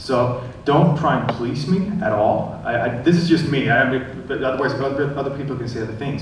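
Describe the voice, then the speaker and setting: Fairly quick male speech with ordinary pitch variation, audible room echo, and noticeable background noise. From Sweden. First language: Swedish. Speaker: film director. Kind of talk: panel discussion. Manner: halting.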